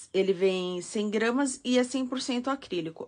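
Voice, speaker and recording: Over a quiet background, a woman with an unremarkable speaking voice talks at a fairly high pitch with ordinary pitch variation. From São Paulo state, Brazil (ABC Paulista). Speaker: crochet teacher. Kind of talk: live-stream tutorial. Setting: live stream.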